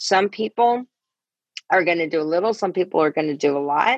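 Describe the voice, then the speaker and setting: This woman talks at a fairly quick clip with lively intonation and a fairly low pitch. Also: dry, close sound with no echo. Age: 50s. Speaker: life coach and network marketer. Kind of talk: casual interview. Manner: animated, repetitive.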